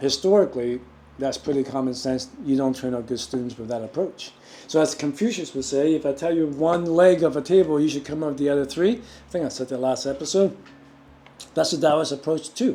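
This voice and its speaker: A man's fairly high voice, dark and mellow in tone, with ordinary pitch variation and a fairly quick pace. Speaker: qi gong teacher. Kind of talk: lecture. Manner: fast.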